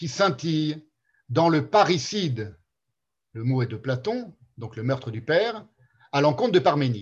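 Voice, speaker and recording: His pitch swings very widely as the man talks. He speaks at a fairly slow pace and sounds somewhat breathy. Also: quiet background. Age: 50s. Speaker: philosophy seminar lecturer. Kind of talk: lecture. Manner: halting.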